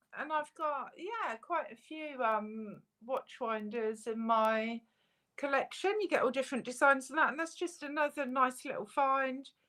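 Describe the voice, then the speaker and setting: A woman talks in a high, raised, projected voice with a bright, sharp tone. Her intonation is lively and her pace fairly slow. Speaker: metal detectorist co-host. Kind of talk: casual live stream chat. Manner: loud.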